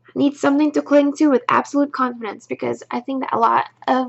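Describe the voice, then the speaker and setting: Speaking at a fairly quick pace, a woman uses a high-pitched voice. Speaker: daily recovery reading channel host. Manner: hesitant, many fillers.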